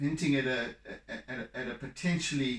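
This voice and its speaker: Mumbling at a very slow pace, the speaker uses ordinary pitch variation. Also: man. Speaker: artist. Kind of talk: painting tutorial. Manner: mumbling, halting.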